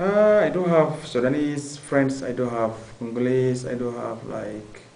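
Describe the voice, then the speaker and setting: With a Somali accent, a man talks at a fairly slow pace, at medium pitch, with lively intonation, amid audible room echo and noticeable background noise. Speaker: university student. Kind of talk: interview. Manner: halting, many fillers.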